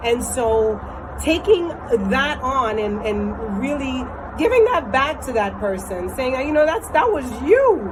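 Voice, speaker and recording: A loud, high-pitched woman at a very slow pace, with lively intonation, audible room echo and noticeable background noise. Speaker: vlogger. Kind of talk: casual vlog monologue. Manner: hesitant fillers.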